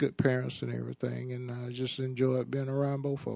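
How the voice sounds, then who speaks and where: A man with a Georgia accent. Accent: Southern US, Georgia. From US South, Macon, Georgia. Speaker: interviewee father. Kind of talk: casual chat.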